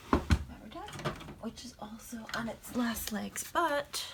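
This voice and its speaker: A soft-spoken woman mumbles at a fairly slow pace. Background noise is noticeable. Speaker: papercraft tutorial creator. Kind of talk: tutorial. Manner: mumbling.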